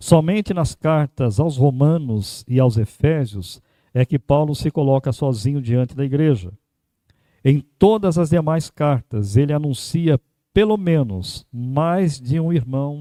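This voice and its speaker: In a very clean recording with a silent background and a dry, close sound free of echo, a man with a dark, mellow tone and fairly high pitch speaks very slowly with lively intonation. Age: 60s. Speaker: pastor. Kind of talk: sermon.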